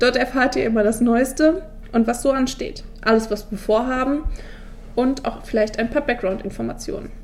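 A woman speaks at a moderate pace in a high voice. Her pitch rises and falls in an ordinary way. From southern Hesse, Odenwald. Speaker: student teacher and podcast host. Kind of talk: scripted podcast intro.

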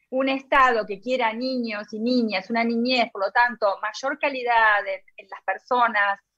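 In a normal speaking voice, a woman with a fairly high pitch talks at a fairly slow pace with fairly even intonation, big swings in loudness and hardly any pauses. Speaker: radio host. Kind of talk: casual chat.

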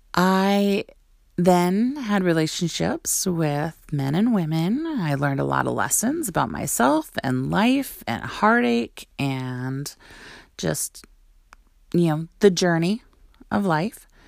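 At a very slow pace, a woman with an American accent and a fairly low pitch moves through very wide pitch swings. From North Dakota, US Midwest. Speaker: podcast host. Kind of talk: personal monologue.

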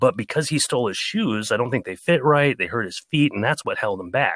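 Using a normal speaking voice, a man with an American accent talks at a fairly quick pace with a medium pitch and lively intonation on a very clean recording with a silent background. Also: dry, close sound with no echo. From United States. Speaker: audiobook narrator. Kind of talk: casual chat.

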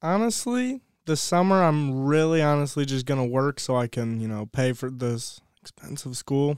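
A man with an American accent and an unremarkable speaking voice speaks at a moderate pace and a fairly high pitch, with ordinary pitch variation. The sound is dry and close with no echo. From Ohio. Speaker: college student and lacrosse player. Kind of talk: casual chat.

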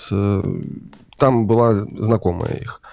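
A man speaks very slowly at a medium pitch. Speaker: guest. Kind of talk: casual interview chat. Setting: video call.

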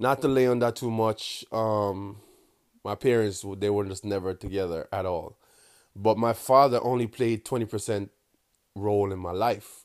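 With a strong Jamaican accent, a man talks at a moderate pace and fairly low pitch, his intonation fairly even, on a very clean recording with a silent background. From Kingston, Jamaica. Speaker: meme creator and podcast host. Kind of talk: casual solo monologue. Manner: casual, profane, laughs often; toned-down patois, speaking carefully.

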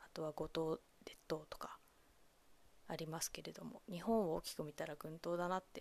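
A voice with fairly even intonation, moving at a moderate pace. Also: woman, fairly low pitch for a woman. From Japan, Kamogawa, Chiba. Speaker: solo podcast host. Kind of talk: solo podcast monologue. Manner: halting, many fillers.

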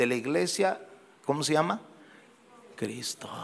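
A man talks fairly slowly in a plain, everyday voice, and his pitch varies in an ordinary way. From Guadalajara, Mexico. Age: 60s. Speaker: pastor. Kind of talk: sermon. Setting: church.

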